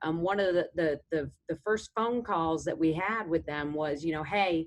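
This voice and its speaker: The speaker, with a New York accent, uses lively intonation at a moderate pace against a quiet background. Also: woman. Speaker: government defense official. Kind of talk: panel discussion. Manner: hesitant, many fillers.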